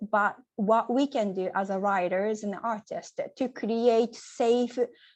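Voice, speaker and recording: A woman at a very slow pace with a Japanese accent, fairly high pitch and fairly even intonation, against a quiet background. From Japan, Nagoya. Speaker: poet. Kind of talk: Q&A answers. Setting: video call. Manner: halting.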